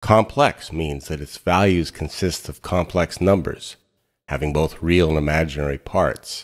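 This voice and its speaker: A man talks at a fairly slow pace with vocal fry. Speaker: physics educator. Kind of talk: educational lecture narration.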